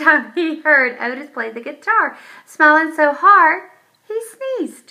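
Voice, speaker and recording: A woman's squeaky, put-on character voice, high in pitch with very wide pitch swings, big swings in loudness and a fairly slow pace. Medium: read story. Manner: folksy, warm, unhurried.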